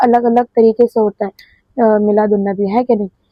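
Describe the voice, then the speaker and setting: The speaker is a woman. Her voice has a fairly high pitch. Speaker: YouTuber doing reaction videos. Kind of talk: casual video intro.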